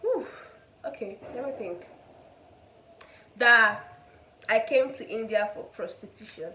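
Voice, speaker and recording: Speaking with a Nigerian accent at a fairly slow pace, a woman has a fairly high pitch, ordinary pitch variation, long, frequent pauses, big swings in loudness and audible room echo. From Nigeria, Igbo (Enugu). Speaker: student vlogger. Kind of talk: casual chat.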